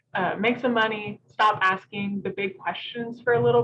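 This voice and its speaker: A woman speaks in a Southern accent. Her intonation is fairly even. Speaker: preservationist. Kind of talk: presentation talk. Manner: many filler ums, halting.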